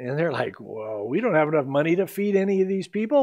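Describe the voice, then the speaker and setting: A man against a quiet background. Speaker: pastor. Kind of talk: sermon. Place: church.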